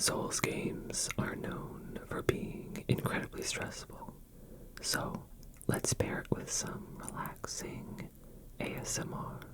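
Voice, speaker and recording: The words come in a whisper at a very slow pace. Noticeable noise sits in the background. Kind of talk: ASMR gaming commentary. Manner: soft-spoken, calm.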